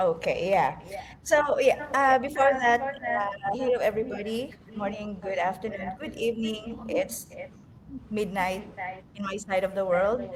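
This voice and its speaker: The speech moves at a moderate pace with ordinary pitch variation. Noticeable background noise sits behind it. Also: woman, fairly high pitch for a woman. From Philippines. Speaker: online business coach. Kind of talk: interview.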